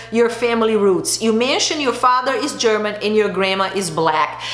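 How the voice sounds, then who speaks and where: A woman speaks loudly in an animated tone. Audible room echo and noticeable background noise surround her. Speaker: beauty and lifestyle vlogger. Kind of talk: casual chat.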